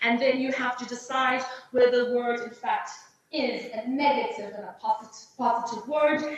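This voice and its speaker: A woman's high-pitched voice with big swings in loudness and audible room echo. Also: fairly even intonation, moderate pace. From South Africa. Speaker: English teacher trainer and exam invigilator. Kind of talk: teacher training webinar.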